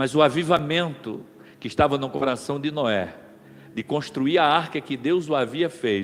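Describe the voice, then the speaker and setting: A man with a fairly high pitch and ordinary pitch variation talks at a fairly slow pace in a normal speaking voice. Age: 60s. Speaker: pastor. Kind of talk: sermon.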